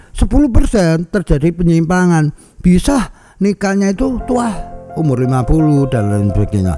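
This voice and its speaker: A high-pitched male voice with a dark, mellow tone. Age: 60s. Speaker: palm reader and fortune consultant. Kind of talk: tutorial.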